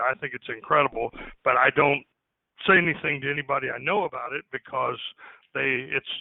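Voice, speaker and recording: A man speaks with an American accent. He talks at a fairly quick pace. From Indiana, US Midwest. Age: 60s. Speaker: farmer. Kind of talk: casual chat. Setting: phone call.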